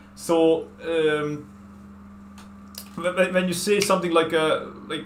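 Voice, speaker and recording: There is audible room echo as a man talks in a high pitch. His pitch moves with ordinary variation. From Hungary. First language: Hungarian. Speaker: artist and video game streamer. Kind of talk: casual chat. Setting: at home. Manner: fast.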